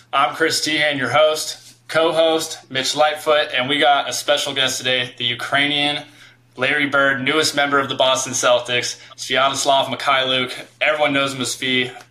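Against noticeable background noise, a man speaks at a moderate pace in a fairly high pitch with monotone, flat intonation. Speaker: podcast host, former college basketball player. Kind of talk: casual chat.

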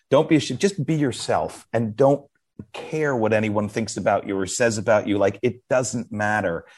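In a quiet background, a man with a medium-pitched voice speaks at a moderate pace with ordinary pitch variation. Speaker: author and former magazine editor. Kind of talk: casual interview chat. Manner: animated, hesitant with many fillers.

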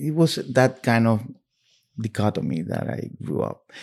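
With a Spanish accent, a man speaks at a fairly slow pace with fairly low pitch and lively intonation, in a very clean recording with a silent background. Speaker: novelist and magazine editor. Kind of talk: interview about his books at a bookstore. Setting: bookstore.

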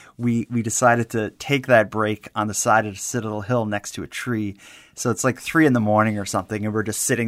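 Fairly quick, fairly even speech with a Maritime Canadian accent and hardly any pauses, on a very clean recording with a silent background. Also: man. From Canada, Halifax, Nova Scotia. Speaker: podcast host. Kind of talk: casual true crime discussion.

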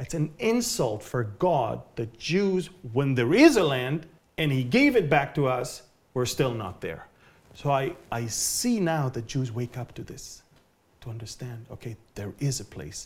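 A man's medium-pitched, somewhat breathy voice, fairly slow, with lively intonation and big swings in loudness. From Israel. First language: Hebrew. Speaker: Bible prophecy teacher. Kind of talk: interview. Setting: at his home.

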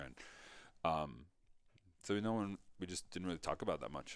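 A man with an American accent speaks at a moderate pace, his intonation fairly even and his voice showing vocal fry. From New York area (Mamaroneck). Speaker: thyroid cancer survivor. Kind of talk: interview testimony.

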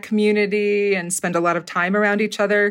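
This woman has an ordinary speaking voice at a medium pitch with fairly even intonation. The recording is very clean, with a silent background. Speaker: theater professor and dialect coach. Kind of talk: casual interview chat.

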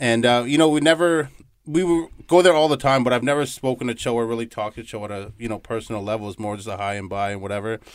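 On a very clean recording with a silent background, a man talks at a very fast pace. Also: medium pitch for a man, ordinary pitch variation. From Toronto, Ontario, Canada. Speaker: restaurant manager. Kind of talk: radio interview. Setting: studio.

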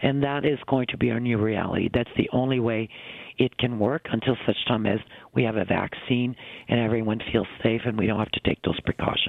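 In a plain, everyday voice, a man of medium pitch speaks at a fairly quick pace with fairly even intonation. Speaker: retail industry executive. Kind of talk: radio interview.

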